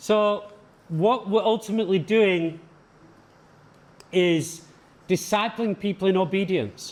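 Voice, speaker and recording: A man speaks at a very slow pace in a high voice, leaving long, frequent pauses. His loudness stays very even and his intonation fairly even. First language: English (speaking Portuguese). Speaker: visiting pastor teaching a leadership seminar. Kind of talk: sermon-style lecture with consecutive interpretation. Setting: seminar for church leaders. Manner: short phrases paused for interpreter.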